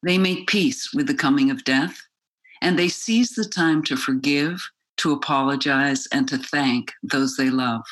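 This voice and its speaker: A woman's very deep, low voice at a fairly slow pace, with very wide pitch swings and very even loudness. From South Africa and Oxford, England. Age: 70s. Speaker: author and journalist.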